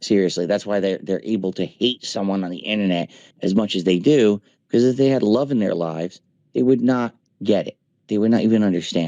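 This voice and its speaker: An unremarkable speaking voice, a man's, fairly low in pitch, with ordinary pitch variation and a fairly quick pace. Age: 40s. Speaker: streamer. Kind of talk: casual chat. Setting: voice chat.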